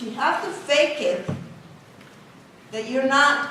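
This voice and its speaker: Speaking with a non-native accent at a fairly slow pace and ordinary pitch variation, a woman is heard over noticeable background noise with audible room echo. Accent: foreign. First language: not English. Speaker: engineering professor. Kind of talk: talk to students.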